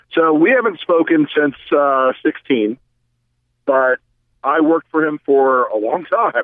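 A very slow pace with ordinary pitch variation. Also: man, fairly high pitch for a man, very even loudness. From US South. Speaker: former Republican political operative. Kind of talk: casual interview conversation.

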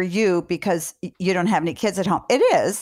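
At a moderate pace, a woman with an unremarkable speaking voice talks in a medium pitch in a very clean recording with a silent background. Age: 60s. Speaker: parenting podcast host, doctor. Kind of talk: interview.

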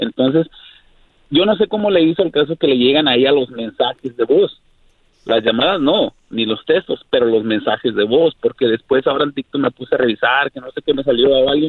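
Here a man speaks in a plain, everyday voice. His pitch is fairly high, with ordinary pitch variation. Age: 40s. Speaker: caller. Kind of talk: casual chat. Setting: phone call.

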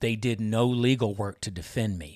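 Fairly slow delivery from a man, with ordinary pitch variation. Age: 50s. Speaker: former judge. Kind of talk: interview. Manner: hesitant, many fillers.

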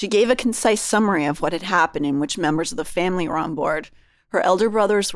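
The clip features a natural reading voice. That is how it comes across throughout.

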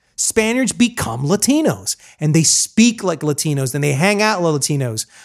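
Pitch swings very widely as a man talks. His pace is moderate, and the recording is very clean with a silent background. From Colombian American, raised in US. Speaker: podcast host. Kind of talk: casual interview chat.

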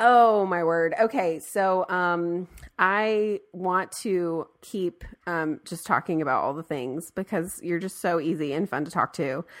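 In a very clean recording with a silent background, a woman speaks in an unremarkable speaking voice, fairly low in pitch and fairly slow, with ordinary pitch variation. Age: 30s. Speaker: podcast host. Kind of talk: casual chat.

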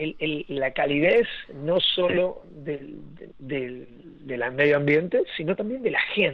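Very slow in pace, a man talks at a fairly high pitch with lively intonation. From Argentina and Venezuela (Puerto Ordaz). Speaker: breathwork and ice bath instructor. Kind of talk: interview conversation. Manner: halting, many repetitions and fillers.

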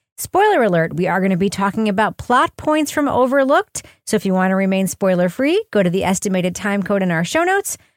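A woman speaks very fast with hardly any pauses, her medium pitch carried by lively intonation. The very clean recording has a silent background, a dry, close sound with no echo, and very even loudness. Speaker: podcast host. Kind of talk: casual banter and podcast review.

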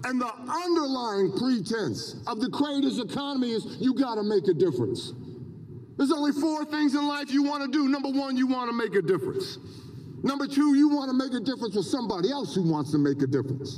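Over noticeable background noise, a man speaks at an extremely high pitch and a fairly quick pace, with an animated tone and lively intonation. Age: 70s. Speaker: motivational speaker, professor. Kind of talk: commencement speech. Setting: stadium with audience.

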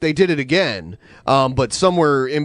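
Moderate pace, lively intonation, and an ordinary speaking voice. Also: man. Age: 30s. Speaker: podcast host. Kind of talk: casual chat. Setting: live stream.

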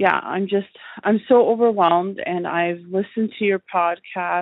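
This woman has a medium pitch and speaks at a moderate pace. Her intonation is fairly even. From Ontario, Canada. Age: 40s. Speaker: caller. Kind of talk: voice message question. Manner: halting.

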